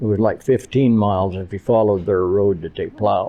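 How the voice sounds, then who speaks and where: A man with a Great Plains accent speaks with fairly even intonation. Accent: rural Great Plains American. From Nebraska Panhandle. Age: 80s+. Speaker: rancher. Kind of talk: casual interview.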